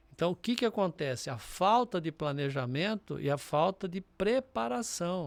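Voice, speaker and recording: This man's pitch makes very wide swings. The recording is very clean, with a silent background. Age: 60s. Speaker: business mentor and entrepreneur. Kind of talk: podcast interview.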